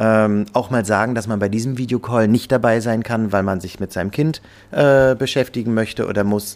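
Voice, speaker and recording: With a normal speaking voice, this man keeps a mid-range pitch, a relatively level intonation, and an average tempo. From Rostock, northern Germany. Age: 30s. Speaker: restaurant owner. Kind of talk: interview.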